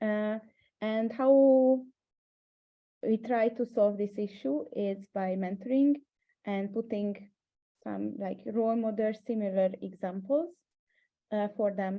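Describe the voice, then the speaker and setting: A woman with a Hungarian accent talks at a very slow pace with long, frequent pauses, a fairly high pitch and ordinary pitch variation. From Hungary. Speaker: startup mentor. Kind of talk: webinar panel discussion. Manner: hesitant, many fillers.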